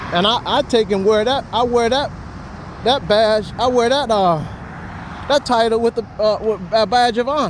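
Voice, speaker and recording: An extremely high-pitched man speaks in an animated tone at a moderate pace with very even loudness and long, frequent pauses, against noticeable background noise. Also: ordinary pitch variation. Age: 50s. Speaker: social media vlogger. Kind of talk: casual vlog monologue.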